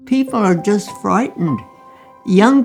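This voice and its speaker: Over music in the background, a woman with a medium-pitched voice speaks at a fairly slow pace. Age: 80s+. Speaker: doctor. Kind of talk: interview answer.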